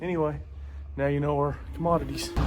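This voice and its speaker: This man's voice sits at a fairly high pitch. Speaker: cattle rancher. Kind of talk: casual farm tutorial. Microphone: no microphone on.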